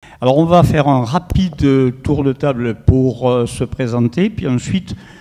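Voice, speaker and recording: Here is a man with a southern French accent. He talks at a fairly slow pace with ordinary pitch variation. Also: medium pitch for a man. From southern France, Toulouse. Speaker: professor of sports medicine, panel moderator. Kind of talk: round-table moderation. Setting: panel discussion with live audience.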